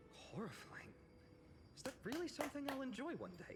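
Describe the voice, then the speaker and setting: A mumbled, high-pitched put-on character voice at a fairly quick pace, with music in the background. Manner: mumbling to himself.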